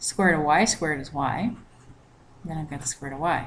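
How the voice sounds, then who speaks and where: This woman's pitch is very deep and low. She sounds somewhat breathy and talks at a moderate pace. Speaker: math teacher. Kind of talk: recorded lecture.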